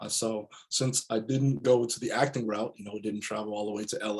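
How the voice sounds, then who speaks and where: A man with an ordinary speaking voice, fairly low pitch, fairly even intonation and a moderate pace. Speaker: voice actor; business and leadership coach. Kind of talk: interview answer.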